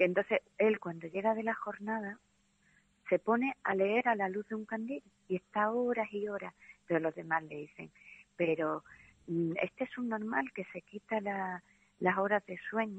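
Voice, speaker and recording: A plain, everyday voice, delivered at a fairly slow pace with ordinary pitch variation. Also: woman, medium pitch for a woman. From Andalusia. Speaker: literature teacher. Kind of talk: casual interview about a novel.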